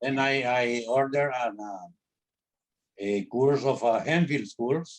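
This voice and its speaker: With a Spanish accent, a man at a medium pitch talks very slowly, his pitch varying in an ordinary way. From Honduras. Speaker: interviewee. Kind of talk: interview. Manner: halting, many repeated words.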